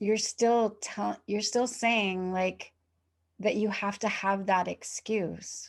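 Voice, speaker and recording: Over a quiet background, a woman with a medium pitch speaks very slowly in a calm tone, her intonation monotone and flat. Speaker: podcast host. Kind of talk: casual chat. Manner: slow and calm.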